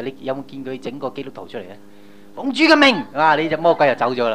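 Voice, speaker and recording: Noticeable background noise sits behind a man with a fairly high pitch. He speaks very fast with very wide pitch swings. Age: young. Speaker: pastor. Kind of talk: sermon. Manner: animated.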